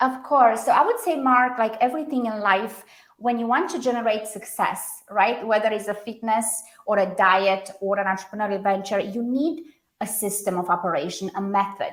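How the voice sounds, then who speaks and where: In a Romanian accent, a woman speaks at a moderate pace with a fairly high pitch. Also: ordinary pitch variation. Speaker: branding consultant. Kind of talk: podcast interview.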